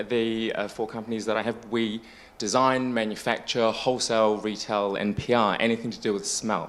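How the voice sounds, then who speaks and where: This man talks at a fairly quick pace and a medium pitch. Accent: New Zealand. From New Zealand. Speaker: business owner, former lawyer. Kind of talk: panel discussion.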